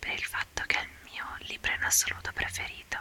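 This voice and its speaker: A woman whispering at a moderate pace over noticeable background noise. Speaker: ASMR content creator. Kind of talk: ASMR whispered talk to camera. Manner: whispered, soft-spoken.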